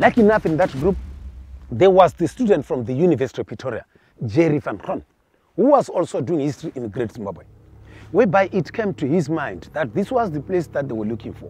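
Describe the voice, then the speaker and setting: Speaking at a very fast pace, a man with a fairly high, dark, mellow voice sounds passionate, with vocal fry, very wide pitch swings and big swings in loudness. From Limpopo, northern South Africa. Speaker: field ranger and cultural tour guide. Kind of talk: guided tour storytelling.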